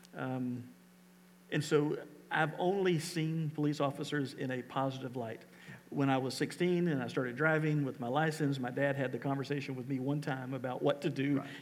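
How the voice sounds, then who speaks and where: A man with a plain, everyday voice talks at a moderate pace, fairly high in pitch, with fairly even intonation. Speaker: pastor. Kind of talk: church service conversation with a guest. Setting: church.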